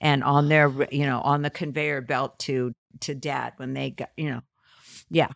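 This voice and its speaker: A woman with an American accent speaks at a moderate pace in a very deep, low voice, her flat, monotone delivery carrying vocal fry in a dry, close sound with no echo. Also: very clean recording, silent background. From California, Fresno. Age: 60s. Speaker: comedian and writer. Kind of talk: interview.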